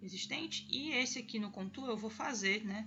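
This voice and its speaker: A woman of medium pitch at a moderate pace, with audible room echo. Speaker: graphic design tutorial youtuber. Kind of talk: tutorial. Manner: casual.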